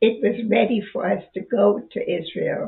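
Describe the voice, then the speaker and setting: The background is quiet while a woman talks very slowly. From Sudetenland, Czechoslovakia. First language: German. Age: 80s+. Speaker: retired university professor. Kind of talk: interview answer. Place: home room.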